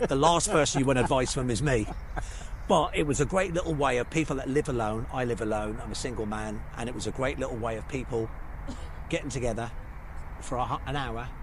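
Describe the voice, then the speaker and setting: Speaking with a slight Birmingham accent, a man talks at medium pitch and a fairly quick pace. Room echo is audible in the recording. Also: ordinary pitch variation. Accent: slight Birmingham twang. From English Midlands and north, Birmingham and Manchester. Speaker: hairstylist turned artist. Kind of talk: casual interview on a walk. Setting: outdoors on city streets.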